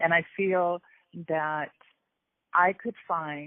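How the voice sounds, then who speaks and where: A woman's fairly low-pitched voice. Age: 60s. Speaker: weight loss program client. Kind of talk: testimony. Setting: phone call. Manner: halting, many repetitions.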